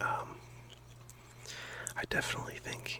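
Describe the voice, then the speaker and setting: Someone whispers in a calm tone at a fairly slow pace over noticeable background noise. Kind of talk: soft whispered ASMR rambling to camera about gaming. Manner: whispered, soft-spoken, calm, rambling.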